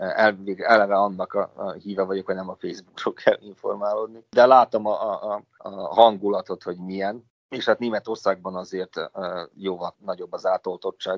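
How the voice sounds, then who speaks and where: A man speaks at a moderate pace with hardly any pauses. His loudness swings a lot. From Vojvodina, Serbia (Senta). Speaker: molecular biologist. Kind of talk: interview.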